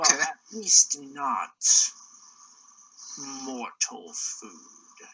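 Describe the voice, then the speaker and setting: Putting on a character voice, a man speaks at a fairly high pitch with very wide pitch swings. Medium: actual play. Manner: low-voiced, knowing.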